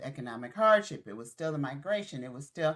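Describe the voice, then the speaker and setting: A woman with an American accent speaks in lively intonation. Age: 60s. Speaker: podcast co-host. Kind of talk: casual chat.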